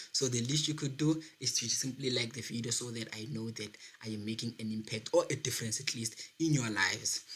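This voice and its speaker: A man's medium-pitched voice at a fairly quick pace, with ordinary pitch variation. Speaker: accounting tutor on a video channel. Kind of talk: tutorial. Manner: fast.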